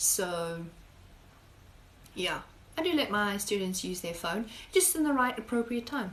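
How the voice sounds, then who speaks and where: A woman speaks with a fairly high pitch that swings very widely. Her speech has long, frequent pauses. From South Africa. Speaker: high school biology teacher. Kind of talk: casual live-stream Q&A. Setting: live stream. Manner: chatty, conversational.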